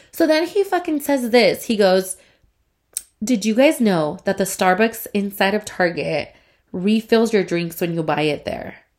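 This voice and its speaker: Very wide pitch swings mark this fairly slow delivery, heard in a very clean recording with a silent background. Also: woman, fairly high pitch for a woman. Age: 20s. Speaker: solo podcaster. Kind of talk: casual chat.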